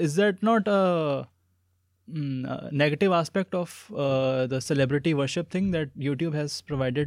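Here a man speaks with a fairly high pitch. His pace is fairly slow, with ordinary pitch variation. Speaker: podcast host. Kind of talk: casual interview. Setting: studio. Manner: mumbling.

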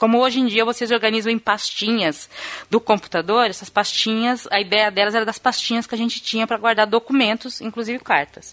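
Using a plain, everyday voice, a woman talks at a fairly quick pace, her fairly high pitch paired with fairly even intonation. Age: 50s. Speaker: podcast co-host. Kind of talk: casual chat.

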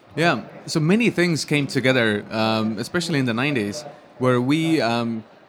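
A man with an Estonian accent talks at a moderate pace with a fairly high pitch and lively intonation. His loudness stays very even, and there is noticeable background noise. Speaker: software company founder. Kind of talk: interview. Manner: hesitant with many fillers.

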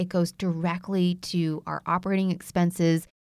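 In a very clean recording with a silent background, a woman with an American accent and an ordinary speaking voice talks at a moderate pace in a fairly low pitch. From United States (came from Vietnam as infant). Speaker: podcast host. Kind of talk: appeal to listeners; casual chat.

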